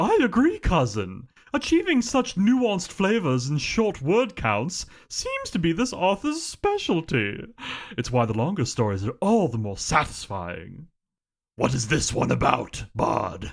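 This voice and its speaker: A man uses a put-on character voice pitched high for a man. He talks at a fairly slow pace. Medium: solo performance. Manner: refined, relishing.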